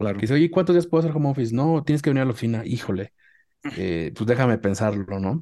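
A man speaks at a very fast pace in a dark, mellow tone, against a quiet background. His pitch swings very widely. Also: medium pitch for a man. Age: 30s. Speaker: marketing manager. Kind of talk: interview.

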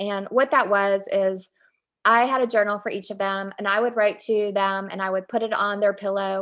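At a moderate pace, a woman with an American accent speaks in a flat monotone. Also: medium pitch for a woman, very clean recording, silent background. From Virginia, Richmond. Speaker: author. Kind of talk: interview.

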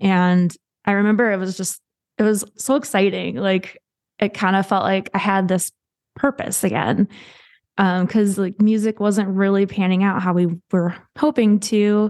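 At a moderate pace and medium pitch, a woman with a normal speaking voice and an American accent talks with fairly even intonation against a quiet background. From US Midwest. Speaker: singer-songwriter sharing infertility story. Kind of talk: casual interview, personal story.

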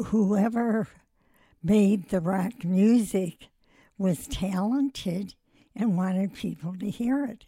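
Speaking very slowly with long, frequent pauses, a woman with an American accent has a dark, mellow tone, a somewhat breathy quality and ordinary pitch variation. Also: medium pitch for a woman. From US Midwest. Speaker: retired teacher. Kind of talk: casual interview answers.

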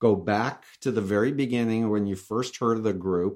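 This man has a normal speaking voice with an American accent, medium pitch and ordinary pitch variation. He keeps a moderate pace in a very clean recording with a silent background. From New York. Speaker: cult expert and author. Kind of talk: interview.

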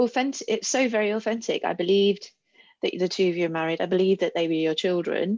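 A woman at medium pitch and very fast pace, with ordinary pitch variation, very even loudness and a quiet background. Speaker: interviewer. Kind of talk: interview.

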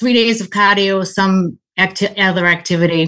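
A woman's bright, sharp tone in a Boston accent. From Boston area. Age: 60s. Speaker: endurance athlete and listener caller. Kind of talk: casual Q&A conversation. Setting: video call.

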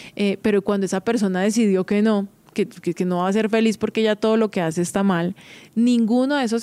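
With ordinary pitch variation, a woman talks at a moderate pace and a medium pitch. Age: 30s. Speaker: podcast host. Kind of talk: casual monologue.

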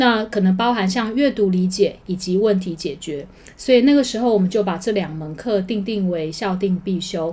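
A woman with a medium-pitched, dark, mellow voice talks at a moderate pace with hardly any pauses. Her pitch varies in an ordinary way. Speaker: high school teacher. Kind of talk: interview.

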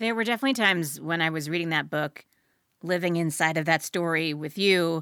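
A woman with an American accent speaks in a very deep, low voice with a bright, sharp tone. The recording is very clean, with a silent background. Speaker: podcast host. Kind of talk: interview conversation.

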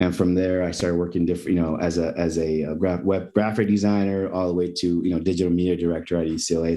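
A man speaks at a very fast pace in a very deep, low pitch with a dark, mellow tone. His intonation is monotone and flat, his loudness very even, and the room echo is audible. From Mexico. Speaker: event producer. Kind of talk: interview.

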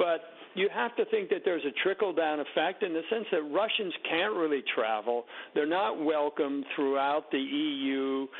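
A man with a normal speaking voice talks at a moderate pace in a fairly high pitch, his loudness very even and his pitch varying in an ordinary way. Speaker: newspaper columnist. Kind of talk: radio interview.

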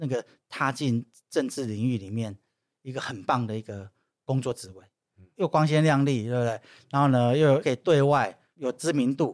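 A man talks at a moderate pace with ordinary pitch variation and long, frequent pauses, recorded with a dry, close sound with no echo against a very clean, silent background. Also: medium pitch for a man, big swings in loudness. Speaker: former political staffer and social entrepreneur. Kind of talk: casual interview chat.

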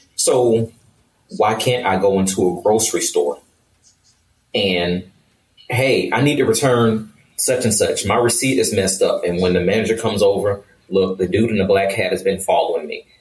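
The speaker is a man at a moderate pace. He leaves long, frequent pauses. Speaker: self-defense and first aid instructor. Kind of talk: casual chat.

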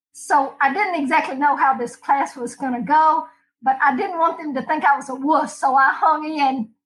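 A woman with a Southern US accent speaks at a moderate pace, her high voice carrying lively intonation. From US South, Alabama. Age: 70s. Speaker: martial arts competitor. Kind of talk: casual chat. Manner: animated.

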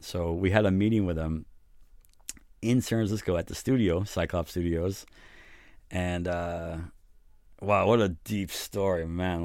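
In a very clean recording with a silent background, a man with a New York accent speaks in a very deep, low pitch with fairly even intonation and long, frequent pauses. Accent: New York American. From New York City. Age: 50s. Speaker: recording studio owner and producer. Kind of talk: casual interview. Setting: recording studio.

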